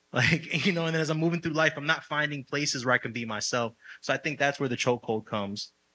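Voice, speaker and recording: Against a quiet background, a man speaks very fast with an American accent. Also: ordinary pitch variation. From the Bronx, New York. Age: 30s. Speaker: singer-songwriter. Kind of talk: live podcast conversation with audience.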